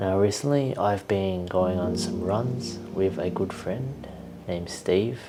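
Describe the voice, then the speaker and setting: A very slow pace and calm tone against noticeable background noise. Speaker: video creator. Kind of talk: casual monologue. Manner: slow, calm.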